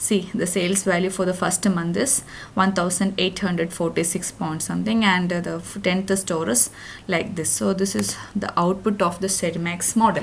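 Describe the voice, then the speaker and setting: Vocal fry marks a woman's medium-pitched voice, her intonation fairly even. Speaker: data science intern presenting project. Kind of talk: tutorial. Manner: fast.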